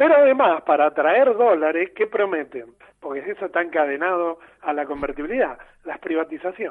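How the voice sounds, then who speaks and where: Pitched high, a man speaks at a fairly quick pace. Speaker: political economy commentator. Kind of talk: explanatory interview.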